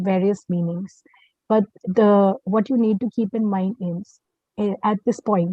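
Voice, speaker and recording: A woman with a medium-pitched, somewhat breathy voice talks at a very slow pace with fairly even intonation. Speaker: climate change program manager. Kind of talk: webinar presentation. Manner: halting, many fillers.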